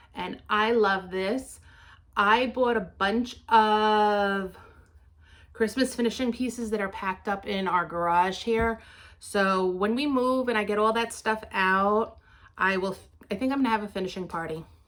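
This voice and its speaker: A fairly high-pitched woman with a New York accent at a fairly slow pace, her intonation fairly even, on a very clean recording with a silent background. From New York City (Queens). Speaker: craft vlogger. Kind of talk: casual show-and-tell vlog.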